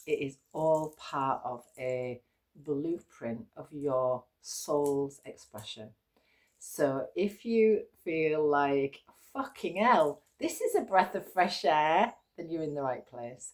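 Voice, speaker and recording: At a very slow pace, a woman with an English accent and a very deep, low pitch speaks with lively intonation and big swings in loudness. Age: 50s. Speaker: yoga teacher. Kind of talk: casual vlog talk. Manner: low energy.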